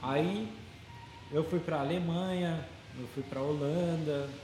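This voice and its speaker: Noticeable background noise and audible room echo surround a man whose fairly high voice breaks into long, frequent pauses. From Brazil. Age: 20s. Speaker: tattoo artist. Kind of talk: casual interview chat.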